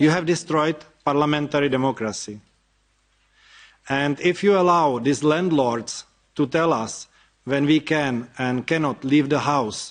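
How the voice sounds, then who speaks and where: Speaking with a Czech accent in a quiet background, a man uses a fairly high pitch, ordinary pitch variation and a fairly slow pace marked by long, frequent pauses. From Czech Republic. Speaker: activist. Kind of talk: speech. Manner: reading from notes.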